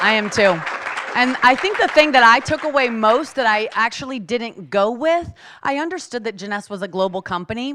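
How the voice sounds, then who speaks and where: The speaker sounds animated, with lively intonation at a moderate pace while crowd noise carries in the background. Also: woman, fairly high pitch for a woman. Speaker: network marketing distributor. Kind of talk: live presentation to audience.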